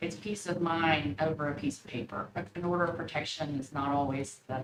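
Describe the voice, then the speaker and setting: With an East Tennessee accent and lively intonation, a woman speaks in a very deep, low voice against noticeable background noise. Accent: East Tennessee Southern US. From East Tennessee, Knoxville. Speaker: monitoring program representative. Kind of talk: presentation to county commission. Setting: county commission meeting. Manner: fast.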